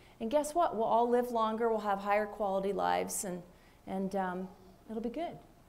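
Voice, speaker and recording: Amid audible room echo, a woman speaks at medium pitch and a moderate pace with ordinary pitch variation. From Minnesota. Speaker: physician. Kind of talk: panel discussion.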